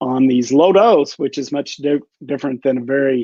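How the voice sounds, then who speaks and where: A man with a plain, everyday voice and a fairly high pitch talks at a moderate pace. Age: 60s. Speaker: physician. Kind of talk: interview.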